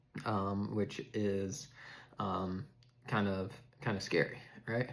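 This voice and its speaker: A man talks at a very slow pace. His pitch sits fairly low. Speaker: mental health vlogger with schizophrenia. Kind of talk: personal talk to camera. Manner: monotone; halting, many fillers and repetitions.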